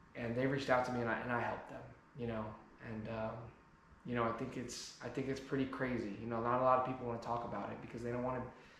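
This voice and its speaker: A man with an American accent at medium pitch, very fast pace and monotone, flat intonation, amid noticeable background noise and audible room echo. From New Jersey, US. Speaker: car enthusiast YouTuber. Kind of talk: personal vlog monologue. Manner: halting, repeated word starts.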